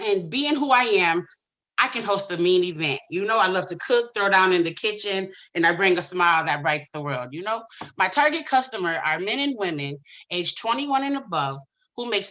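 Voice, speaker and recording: Loud and bright, a woman speaks in a sharp tone at a fairly quick pace. Her pitch swings very widely. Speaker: small business pitch contestant, event host and cook. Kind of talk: Q&A answer; business pitch. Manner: loud, boisterous; hesitant with many fillers.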